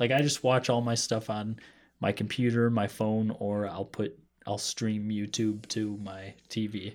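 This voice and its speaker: Speaking fairly slowly with fairly even intonation, a man with an American accent has an ordinary speaking voice at a fairly low pitch. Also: very clean recording, silent background. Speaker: podcast host. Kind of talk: casual chat.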